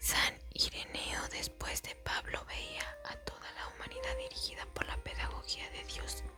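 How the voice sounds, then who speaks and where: Amid noticeable background noise, the speech comes as a whisper at a fairly slow pace. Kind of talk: whispered ASMR Bible reading for sleep. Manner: whispered, soft-spoken.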